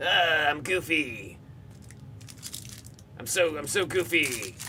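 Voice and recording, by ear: A man puts on a character voice, fairly high in pitch and delivered at a very slow pace. Clear background noise runs underneath.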